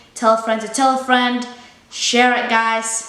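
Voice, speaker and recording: In a room with audible echo, a woman speaks at a high pitch with monotone, flat intonation. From Ethiopia. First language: Amharic. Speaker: YouTuber. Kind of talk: casual vlog talk. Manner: casual, with fillers.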